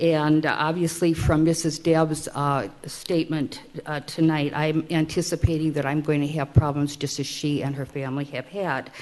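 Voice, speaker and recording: Noticeable background noise sits behind a woman with a very deep, low pitch. She talks in a monotone, flat way at a moderate pace, with hardly any pauses. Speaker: resident speaking at public hearing. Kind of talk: public testimony. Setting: city council meeting.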